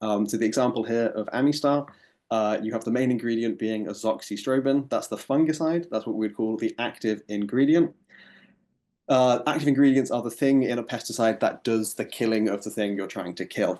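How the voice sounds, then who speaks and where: Speaking fairly quickly with an English accent, a man uses a medium pitch, a dark, mellow tone and ordinary pitch variation. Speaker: ecotoxicologist, researcher. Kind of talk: lecture. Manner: hesitant, many fillers.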